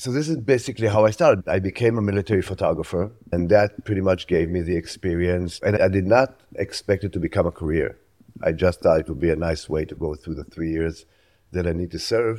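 A very deep, low man's voice with a dark, mellow tone and an Israeli accent, at a very fast pace. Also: ordinary pitch variation. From Israel (Tel Aviv area). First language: Hebrew. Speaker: photojournalist. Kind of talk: interview.

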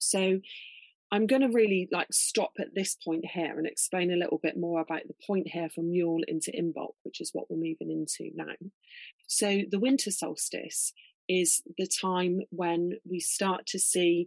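A woman speaks in a plain, everyday voice at a medium pitch with ordinary pitch variation, the sound dry and close with no echo. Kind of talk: guided meditation. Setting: video call. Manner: slow, calm, soothing, gentle pacing with pauses.

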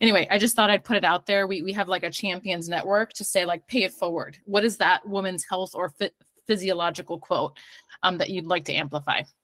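A woman with an American accent speaks in a normal speaking voice at a medium pitch, the sound dry and close with no echo. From New York / New Jersey. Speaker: tech startup CEO. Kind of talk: panel discussion.

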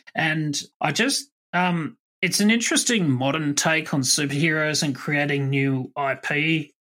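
A man speaks with an Australian accent at a fairly high pitch, his pitch moving in an ordinary way. His tone is bright and sharp, on a very clean recording with a silent background. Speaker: podcast host. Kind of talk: casual chat.

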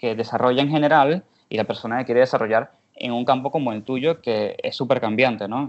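This man talks at a fairly quick pace in a medium pitch with ordinary pitch variation, a normal speaking voice. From Venezuela. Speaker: podcast host. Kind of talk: casual interview chat.

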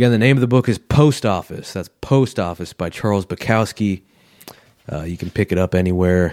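At a fairly quick pace, a man speaks in an unremarkable speaking voice, fairly low in pitch with ordinary pitch variation, in a dry, close sound with no echo. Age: 40s. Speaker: pathologist podcast host. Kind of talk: solo podcast monologue. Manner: casual, conversational.

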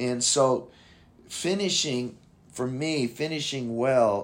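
Very slowly, a man talks with ordinary movement in his pitch. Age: 60s. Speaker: pastor. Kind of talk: casual interview.

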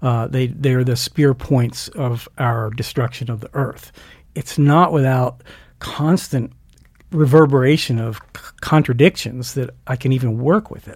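A man with an American accent speaks at a fairly slow pace in a somewhat breathy voice of medium pitch, with ordinary pitch variation and big swings in loudness. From US Mid-Atlantic (Delaware). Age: 60s. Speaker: blacksmith and school director. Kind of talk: casual interview.

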